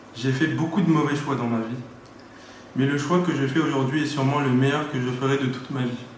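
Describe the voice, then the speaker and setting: The voice moves at a moderate pace with fairly even intonation. Audible room echo is present. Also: man. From Paris region, France. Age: 30s. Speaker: church member giving baptism testimony. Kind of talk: testimony read aloud.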